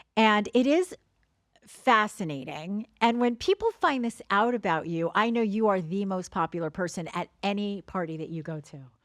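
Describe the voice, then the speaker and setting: Lively intonation in a New Jersey accent, at a moderate pace, with big swings in loudness and a dry, close sound with no echo. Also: woman, medium pitch for a woman. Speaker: podcast host. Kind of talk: casual chat.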